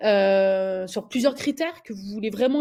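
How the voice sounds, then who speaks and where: This recording is very clean, with a silent background. The voice belongs to a woman. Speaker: recruiter. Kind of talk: tutorial. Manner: fast; hesitant, many filler words.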